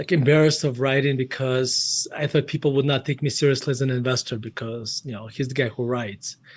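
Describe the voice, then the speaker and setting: A man with a Russian accent talks at a fairly quick pace and a medium pitch, with hardly any pauses. Noticeable background noise runs underneath. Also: fairly even intonation. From Russia, Murmansk. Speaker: investment firm CEO and author. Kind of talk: interview.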